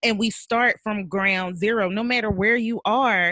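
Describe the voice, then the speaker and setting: In a plain, everyday voice, a woman talks at a moderate pace and medium pitch with ordinary pitch variation, the sound dry and close with no echo. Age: 40s. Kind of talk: casual chat.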